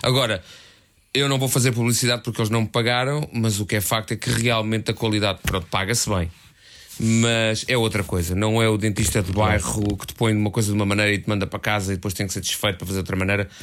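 This man talks at a very fast pace in a fairly low pitch. His intonation stays fairly even. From Portugal, Lisbon area (Algés). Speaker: podcast co-host, novelist. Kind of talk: casual chat.

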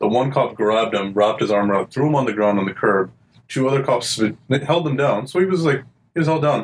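A man at medium pitch talks at a very fast pace. His loudness stays very even. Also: lively intonation. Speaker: podcast co-host. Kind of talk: casual banter. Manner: joking, laid-back.

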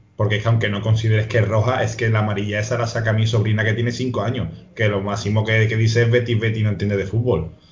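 Noticeable background noise sits under the speech. The delivery is very fast and monotone, with flat intonation. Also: man, fairly low pitch for a man. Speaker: football pundit. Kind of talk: casual chat. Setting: video call.

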